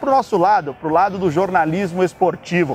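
Dry, echo-free sound of a man, with light background noise. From Brazil. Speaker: sports journalist and host; sports journalist, host. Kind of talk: interview. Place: street. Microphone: lapel.

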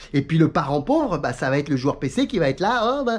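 In an animated tone, a man speaks at a fairly quick pace, his pitch swinging very widely. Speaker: YouTuber on sim racing. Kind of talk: casual vlog monologue. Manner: fast. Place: home room. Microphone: phone near.

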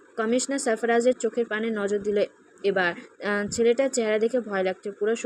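Fairly even intonation in a natural reading voice

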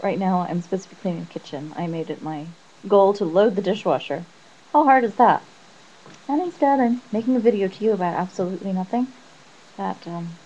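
A woman at a medium pitch mumbles with long, frequent pauses and big swings in loudness over noticeable background noise. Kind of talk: casual talk to camera. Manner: mumbled.

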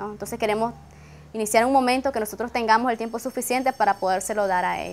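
Speaking at a very fast pace, a woman with a fairly high pitch keeps her intonation fairly even over light background noise. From Nicaragua. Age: 20s. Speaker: university student. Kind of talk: interview testimony. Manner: hesitant, frequent fillers. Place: garden. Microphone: lapel.

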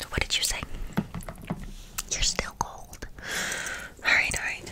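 A soft-spoken woman at a fairly slow pace, against loud background noise. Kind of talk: roleplay talk to the viewer as a character. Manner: soft close ASMR voice. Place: home room.

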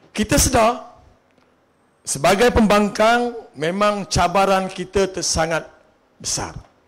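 A man with a high voice talks very slowly, with ordinary pitch variation and long, frequent pauses. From Malaysia, Terengganu (Marang). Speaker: politician, election candidate. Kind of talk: political rally speech.

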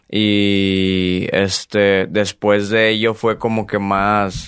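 A man speaks very slowly with a Mexican accent, in a fairly low, monotone, flat voice at very even loudness. The sound is dry with no echo, and the background is quiet. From Mexico. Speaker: singer; podcast guest. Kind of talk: casual interview. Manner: reserved, subdued. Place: studio. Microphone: studio mic.

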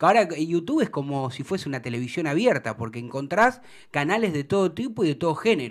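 A man with a Rioplatense accent, fairly high pitch, lively intonation and a fairly quick pace, in a quiet background. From Argentina. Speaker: sports show host. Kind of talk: interview. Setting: studio. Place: studio. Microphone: studio mic.

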